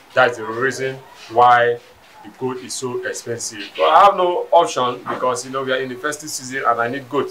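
Light background noise sits behind a man with a Nigerian accent who speaks at a fairly quick pace, with ordinary pitch variation and big swings in loudness. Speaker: local resident. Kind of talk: street interview. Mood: resigned complaint about prices. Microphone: handheld.

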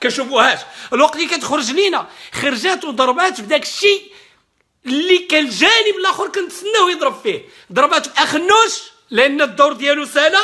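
A man's raised, projected voice, animated and fairly quick, with very wide pitch swings over a quiet background. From Morocco. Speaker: political commentator. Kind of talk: political rant. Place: home room. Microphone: webcam.

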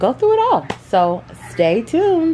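Faint music sits in the background. Over it, a woman talks. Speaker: home organizing vlogger. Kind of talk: casual vlog chat. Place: home room. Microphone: phone near.

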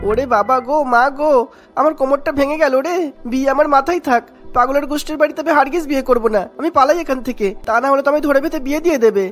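A whiny, put-on character voice rattles along at a very fast pace. Music plays in the background. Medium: cartoon. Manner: sly, then panicky and whining.

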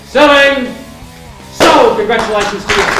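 A man's voice carries audible room echo. Faint music plays in the background. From Australia. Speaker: real estate auctioneer. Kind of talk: property auction call. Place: hall.

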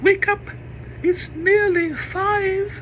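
There is clear background noise. The put-on character voice is squeaky and extremely high. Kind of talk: lecture, reading poetry aloud.

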